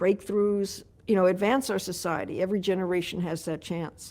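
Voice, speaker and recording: In an American accent, a woman speaks at medium pitch and a moderate pace with monotone, flat intonation. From New York City. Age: 70s. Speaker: mayoral candidate. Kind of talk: interview.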